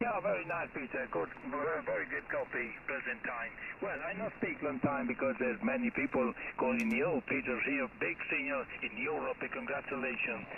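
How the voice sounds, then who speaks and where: Over noticeable background noise, a man talks at a moderate pace in a high pitch that swings very widely. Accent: Italian. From Italy. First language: Italian. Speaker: amateur radio operator. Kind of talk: radio contact exchange. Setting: amateur radio.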